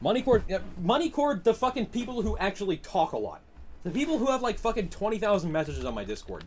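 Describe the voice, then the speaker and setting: A man with a Massachusetts accent, high-pitched, very fast, animated in tone and lively in intonation. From Massachusetts, US. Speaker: gaming streamer. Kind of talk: live stream commentary while gaming, reading chat. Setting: live stream. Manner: casual, animated.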